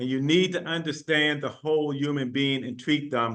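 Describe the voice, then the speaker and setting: A man speaks at a fairly slow pace with a fairly high pitch. His tone is bright and sharp, with ordinary pitch variation. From United States. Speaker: university vice chancellor. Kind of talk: panel discussion.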